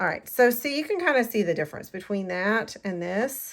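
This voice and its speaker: A woman talks in an ordinary speaking voice at a moderate pace, her intonation lively. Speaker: card-making crafter and demonstrator. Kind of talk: crafting tutorial. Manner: casual, chatty.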